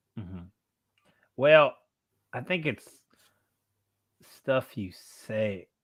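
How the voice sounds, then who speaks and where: An American accent marks this man's medium-pitched voice, and his intonation is lively. He talks at a very slow pace with long, frequent pauses. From US South, Tennessee (Maynardville). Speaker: motorcycle channel host, live streamer. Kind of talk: casual chat. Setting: live stream with remote co-host. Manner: animated.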